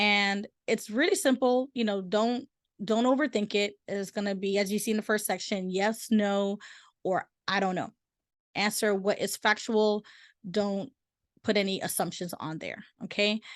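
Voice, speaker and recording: A woman speaks at a moderate pace and medium pitch in a plain, everyday voice. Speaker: real estate agent. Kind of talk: webinar presentation. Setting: recorded virtual seminar.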